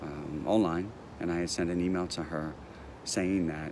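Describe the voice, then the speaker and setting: A man's very deep, low voice at a moderate pace, with audible room echo. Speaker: speech coach and person who stutters. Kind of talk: personal testimony vlog. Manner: repetitive hesitations.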